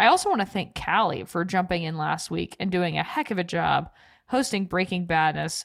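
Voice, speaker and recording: With vocal fry and a fairly low pitch, a woman speaks at a fairly quick pace using ordinary pitch variation. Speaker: podcast co-host. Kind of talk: casual chat. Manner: animated.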